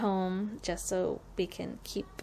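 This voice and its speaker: Light background noise is present. Over it, a woman talks. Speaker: vlogger. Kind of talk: casual vlog chat. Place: home room. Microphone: phone near.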